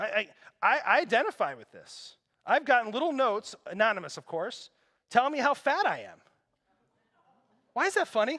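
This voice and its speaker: An animated man uses a raised, projected voice at an extremely high pitch, with a bright, sharp tone and very wide pitch swings. At a moderate pace, his loudness swings widely between long, frequent pauses. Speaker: pastor. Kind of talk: sermon.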